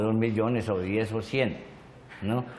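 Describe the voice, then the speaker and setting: A man delivers his words at medium pitch and a moderate pace, his intonation monotone and flat. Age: 60s. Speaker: victim of violence, witness. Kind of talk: testimony. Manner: halting.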